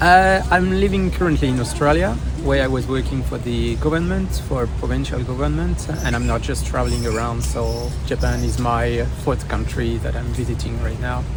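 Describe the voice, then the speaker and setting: A man with a French accent speaks in a very deep, low pitch at a moderate pace, with hardly any pauses and monotone, flat intonation. Music sits in the background, along with audible room echo. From northeast France. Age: 30s. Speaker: tourist interviewee. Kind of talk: street interview. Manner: halting, many fillers.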